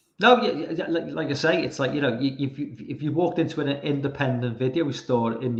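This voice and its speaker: Speaking with a Liverpool accent, a man uses a fairly high pitch with ordinary pitch variation and a somewhat breathy quality. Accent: Liverpool (Scouse) English. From England, Liverpool. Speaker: horror film fan guest. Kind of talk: casual chat. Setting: live stream call.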